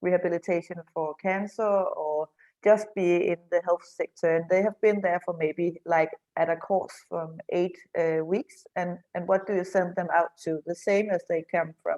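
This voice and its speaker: A woman with a Danish accent speaks in a fairly low pitch with a dark, mellow tone. Her intonation is monotone and flat, and the sound is dry and close with no echo. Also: fairly slow pace. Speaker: men's shed association representative. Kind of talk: online panel discussion. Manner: halting.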